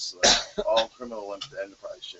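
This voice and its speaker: A man's speech, delivered at a moderate pace, comes through noticeable background noise. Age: 40s. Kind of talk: casual chat.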